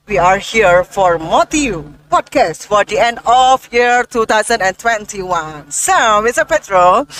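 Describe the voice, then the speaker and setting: In an Indonesian accent, a woman with a fairly high voice speaks at a very slow pace with lively intonation, the sound dry and close with no echo. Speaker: podcast host. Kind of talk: interview.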